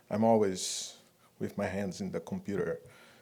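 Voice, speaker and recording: A man speaks with a Brazilian Portuguese accent. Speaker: 3D artist and director. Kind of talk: conference talk. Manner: halting.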